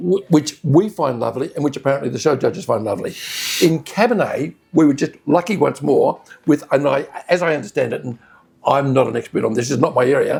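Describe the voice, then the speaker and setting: A man with an Australian accent, fairly high-pitched, talking at a fairly quick pace with lively intonation amid noticeable background noise. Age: 70s. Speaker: wine critic. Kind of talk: casual chat. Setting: restaurant.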